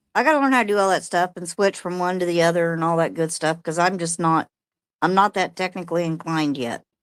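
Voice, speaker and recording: In a very clean recording with a silent background, a woman with an American accent and a fairly low pitch talks very fast with ordinary pitch variation. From New Mexico near Texas border. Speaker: viewer joining stream. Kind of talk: casual chat. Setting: joining live stream on mobile.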